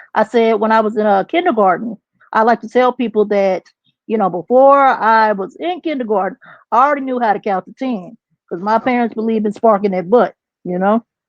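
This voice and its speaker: Speaking in a Texas accent, a woman talks at a fairly quick pace in a fairly high pitch with ordinary variation, the sound dry and close with no echo. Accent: country Texas. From Texas (partly San Antonio). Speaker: substitute teacher, podcast guest. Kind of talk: casual interview.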